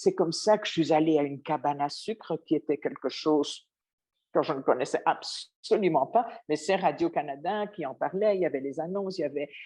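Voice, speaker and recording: Over a quiet background, a woman with a fairly low pitch and a dark, mellow tone talks at a fairly quick pace. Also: ordinary pitch variation. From Belgium. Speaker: former radio journalist, interviewee. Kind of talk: interview. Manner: hesitant, with repetitions.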